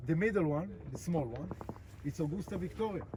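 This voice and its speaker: Speaking at a fairly quick pace, a man with an Israeli accent has a fairly high-pitched voice. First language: Hebrew. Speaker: tour guide. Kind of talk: guided tour talk outdoors. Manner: halting, many fillers.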